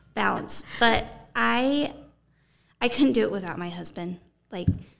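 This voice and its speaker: Speaking at a fairly slow pace with a slight country accent, the voice makes very wide pitch swings and big swings in loudness. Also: woman, medium pitch for a woman. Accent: slight country twang. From Arizona (Safford, small rural town). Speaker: singer-songwriter. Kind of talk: casual interview chat. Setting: conference room.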